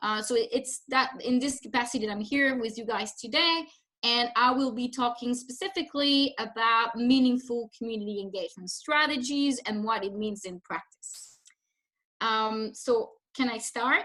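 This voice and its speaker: Speaking with a French accent, a woman has a high pitch and a bright, sharp tone, with ordinary pitch variation and big swings in loudness. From France. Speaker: humanitarian development consultant. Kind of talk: webinar presentation. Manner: hesitant with fillers.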